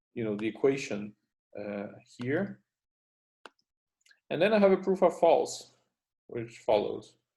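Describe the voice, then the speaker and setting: A man's medium-pitched, dark, mellow voice in a French Canadian accent, with lively intonation and a fairly slow pace. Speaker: university lecturer. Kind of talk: lecture. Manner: halting, many fillers.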